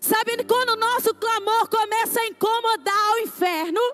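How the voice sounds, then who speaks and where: A woman speaks in an animated tone at an extremely high pitch. The sound is dry and close with no echo. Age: 40s. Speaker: pastor. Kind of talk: sermon.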